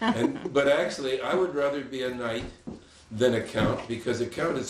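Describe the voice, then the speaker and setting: A man speaks fairly fast, with clear background noise and an audible echo from the room. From Santa Barbara, California, after early childhood in France and Spain. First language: Spanish. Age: 90s. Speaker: retired bush pilot. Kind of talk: casual storytelling interview. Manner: halting, with frequent restarts.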